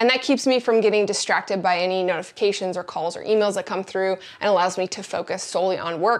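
This woman talks fairly quickly. Behind her, music is playing. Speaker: creator showing her desk setup. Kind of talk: casual vlog tour. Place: office. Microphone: lapel.

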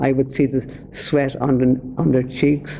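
Against light background noise, a man with a Dublin accent speaks at a moderate pace in a monotone, flat intonation. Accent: Dublin Irish. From Ireland, Dublin. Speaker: former priest, preacher. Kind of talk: testimony. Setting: speaking to an audience. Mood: earnest, reflective. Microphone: podium.

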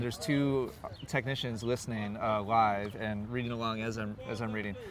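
A man talks at a fairly quick pace. The sound is dry with no echo, over light background noise. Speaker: interviewee. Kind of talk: interview answer. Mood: relaxed, amused. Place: open country.

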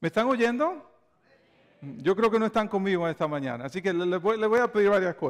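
A man speaks with a Dominican accent at a moderate pace. His pitch varies in an ordinary way, and the background is quiet. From Dominican Republic. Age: 40s. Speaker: pastor. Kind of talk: sermon. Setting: church. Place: church. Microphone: lapel.

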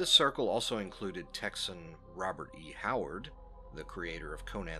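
With music playing in the background, a man speaks at a fairly slow pace. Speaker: narrator. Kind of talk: literary introduction to camera.

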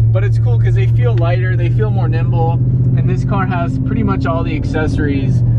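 Loud background noise runs under the recording. A man speaks at a moderate pace in a dry sound with no echo. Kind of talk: casual vlog chat. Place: car. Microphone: phone near.

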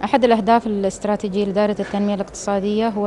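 In an Emirati accent, a woman speaks at a very fast pace in a monotone, flat intonation, with light background noise behind her. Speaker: archaeologist. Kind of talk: TV talk show interview. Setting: TV studio. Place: hall. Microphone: handheld.

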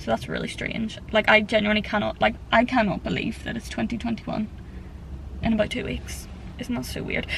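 Light background noise sits under speech at a moderate pace, with a dry sound and no echo. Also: woman. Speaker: vlogger. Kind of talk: casual vlog chat. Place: car. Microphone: phone near.

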